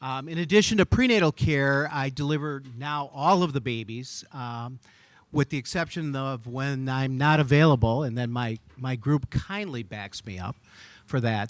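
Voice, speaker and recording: At a moderate pace, the talking shows ordinary pitch variation. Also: man, medium pitch for a man, very clean recording, silent background. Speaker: physician. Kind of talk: gala speech. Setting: stage with audience.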